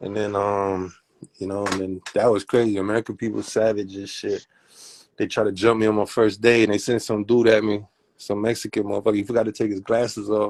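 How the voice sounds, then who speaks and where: A man with a Miami accent at a fairly low, monotone, flat pitch, at a fairly quick pace, on a very clean recording with a silent background. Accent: Miami dialect, sounds Southern. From Germany (Heidelberg). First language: German. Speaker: rapper. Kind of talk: casual interview.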